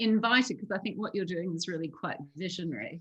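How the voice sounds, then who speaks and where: At a fairly quick pace, a woman with an Australian accent speaks with lively intonation. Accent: Australian, still noticeable. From Australia, moved often as a child. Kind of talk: personal life story.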